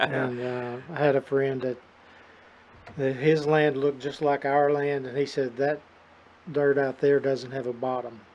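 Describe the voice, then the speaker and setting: Over noticeable background noise, the voice goes at a fairly slow pace in a monotone, flat intonation, broken by long, frequent pauses. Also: man, fairly high pitch for a man. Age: 60s. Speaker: rice farmer. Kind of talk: casual chat.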